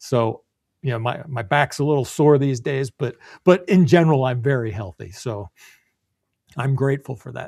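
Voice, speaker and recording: A man's somewhat breathy voice at a medium pitch, with big swings in loudness and long, frequent pauses, in a dry, close sound with no echo on a very clean recording with a silent background. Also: ordinary pitch variation, moderate pace. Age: 60s. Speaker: business coach. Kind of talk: interview.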